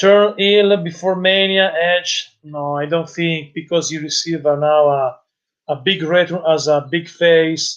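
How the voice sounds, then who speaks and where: With an Italian accent, a man speaks at a fairly slow pace, his high pitch carrying fairly even intonation. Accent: Italian-accented English, non-native. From Italy. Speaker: wrestling youtuber and live-stream commentator. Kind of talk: live-stream commentary and chat reading. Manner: halting, hesitant with fillers.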